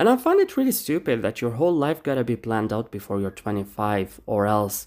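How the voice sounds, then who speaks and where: A man talks at a very fast pace. His pitch sits in the middle range. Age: 20s. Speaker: podcast host. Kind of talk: casual solo monologue.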